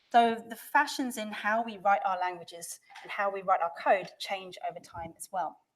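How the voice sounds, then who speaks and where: Here a woman is speaking. Her pitch is medium. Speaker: developer advocate, conference speaker. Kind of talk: conference talk. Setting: stage with audience. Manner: fast; animated.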